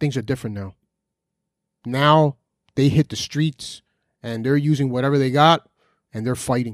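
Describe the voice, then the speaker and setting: In an American accent, the speaker talks at a moderate pace with ordinary pitch variation and long, frequent pauses, in a very clean recording with a silent background and a dry, close sound with no echo. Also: man. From New Jersey. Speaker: podcast host. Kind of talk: unscripted monologue.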